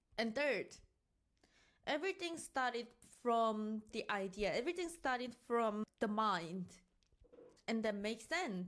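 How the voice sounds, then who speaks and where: Fairly high pitch from a woman with a non-native accent, very wide pitch swings, very even loudness, a fairly slow pace, and long, frequent pauses. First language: not English. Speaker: self-improvement vlogger. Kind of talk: casual review monologue.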